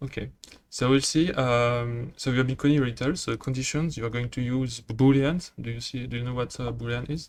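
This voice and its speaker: This man has a French accent, a medium pitch and fairly even intonation, and he talks at a fairly quick pace. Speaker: programming tutor. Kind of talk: tutorial. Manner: halting, many fillers.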